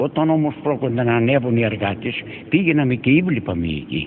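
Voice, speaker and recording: Lively in intonation, a man with a medium pitch speaks over noticeable background noise. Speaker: former coal miner. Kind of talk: testimony. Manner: halting.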